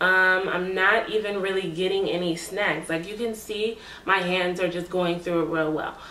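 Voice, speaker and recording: Fairly slow, medium-pitched speech from a woman, amid audible room echo and noticeable background noise. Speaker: beauty vlogger. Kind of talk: hair review tutorial. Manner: animated.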